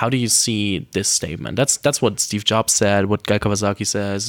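This is a normal speaking voice at a fairly quick pace. The sound is dry and close with no echo. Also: man. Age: 20s. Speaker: podcast host. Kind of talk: interview. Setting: office.

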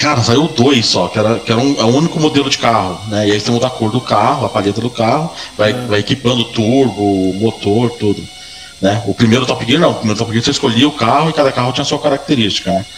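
Over music in the background, a man talks at a very fast pace with medium pitch, ordinary pitch variation and very even loudness. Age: 40s. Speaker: gaming podcast co-host. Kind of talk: casual chat.

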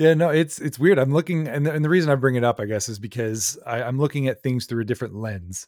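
The recording is very clean, with a silent background. A man talks fast at medium pitch in a slightly mellow tone. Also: ordinary pitch variation.

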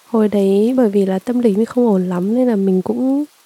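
This woman's voice sits at a medium pitch and varies in pitch in an ordinary way. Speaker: podcast host. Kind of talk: casual personal monologue. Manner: rambling conversational.

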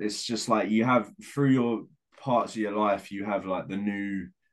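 A man with a London accent, a fairly low pitch and ordinary pitch variation, at a moderate pace on a very clean recording with a silent background. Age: 20s. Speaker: indie band lead singer. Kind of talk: casual chat.

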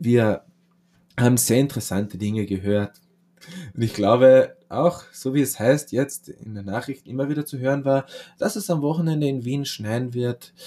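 The man's tone is dark and mellow, at a medium pitch. He speaks at a moderate pace with ordinary pitch variation. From Austria. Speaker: podcast host, comedian. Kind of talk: satirical comedy monologue.

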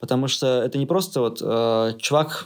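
The pitch moves in an ordinary way. It belongs to an unremarkable speaking voice. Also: man. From Russia. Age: 30s. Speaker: IT product manager. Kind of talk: interview.

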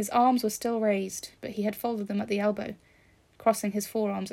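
The voice sounds natural. It is reading aloud.

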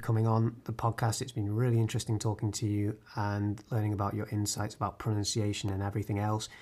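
With a somewhat breathy voice, a man talks at a very fast pace. His intonation is monotone and flat. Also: hardly any pauses. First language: English and Spanish (bilingual). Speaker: podcast host. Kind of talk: casual interview; scripted narration.

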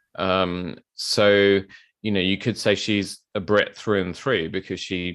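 A man speaks in a very deep, low pitch with monotone, flat intonation. His pace is moderate, over a quiet background. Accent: London. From South London. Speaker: bespoke tailor and podcast host. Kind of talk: casual interview.

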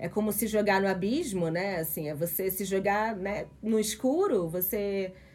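An unremarkable speaking voice at a fairly slow pace. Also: woman. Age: 40s. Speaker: podcast host, sociologist. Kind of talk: casual chat.

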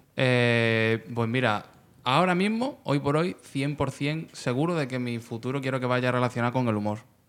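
A man's plain, everyday voice at medium pitch, fairly slow in pace, with ordinary pitch variation. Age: 30s. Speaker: rapper and online video comedian. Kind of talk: casual chat.

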